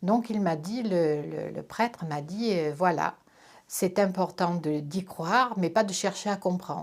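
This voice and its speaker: With ordinary pitch variation, a woman talks fairly slowly at a fairly low pitch. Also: very clean recording, silent background. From France, Corrèze. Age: 60s. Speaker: interviewee sharing religious conversion story. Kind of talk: testimony. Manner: hesitant, frequent fillers.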